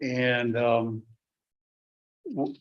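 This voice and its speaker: In a northern Wisconsin accent, a man speaks at a medium pitch. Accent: Upper Midwest (northern Wisconsin). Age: old. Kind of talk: formal welcome address. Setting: public board meeting. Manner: loud; halting, many fillers.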